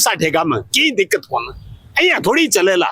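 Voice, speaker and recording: A man speaks in a raised, projected voice. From Rajasthan, rural Jaipur (Jhotwara). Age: 60s. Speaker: villager, pensioner. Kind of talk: street interview. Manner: animated.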